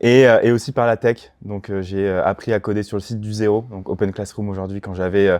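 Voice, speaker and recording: A man's fairly low voice at a fairly quick pace, with a slight Toulouse accent, fairly even intonation and a quiet background. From France, Toulouse. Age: 30s. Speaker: startup cofounder. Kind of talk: podcast interview. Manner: hesitant, many fillers.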